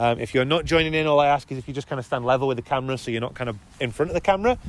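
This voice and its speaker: Medium pitch from a man over noticeable background noise. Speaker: youth soccer technical director, coach educator. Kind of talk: coaching workshop instruction. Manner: fast; casual, lots of fillers.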